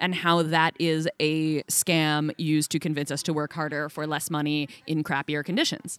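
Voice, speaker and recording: With an American accent, a woman with a plain, everyday voice speaks at a moderate pace and fairly low pitch in a very clean recording with a silent background and a dry, close sound with no echo. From United States. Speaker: journalist. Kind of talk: casual interview. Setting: festival venue.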